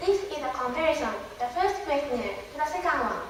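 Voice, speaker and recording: In a room with audible echo, a woman with a Japanese accent speaks with lively intonation. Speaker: university student presenter. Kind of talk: conference presentation.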